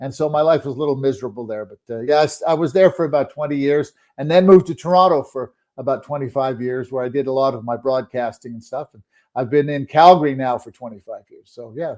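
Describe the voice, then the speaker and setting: With a Canadian accent, a man talks at a very fast pace, with big swings in loudness and ordinary pitch variation. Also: fairly high pitch for a man. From Quebec, Montreal. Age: 70s. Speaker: sports broadcaster and journalist. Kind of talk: interview. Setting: podcast.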